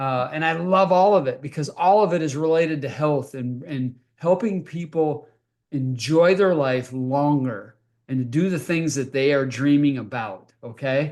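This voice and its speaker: A man in an ordinary speaking voice, fairly high-pitched, moderate in pace, with ordinary pitch variation. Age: 60s. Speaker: health company founder and podcast host. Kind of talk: motivational talk with sales pitch. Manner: conversational, frequent fillers.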